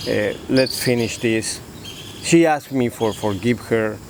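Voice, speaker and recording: A man with a Spanish accent at a fairly slow pace, over noticeable background noise. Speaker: father in family dispute. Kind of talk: interview. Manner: halting.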